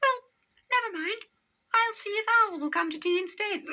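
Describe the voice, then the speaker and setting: Using a put-on character voice, a man talks at a moderate pace in a squeaky, extremely high pitch. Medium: read story. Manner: nervous, polite.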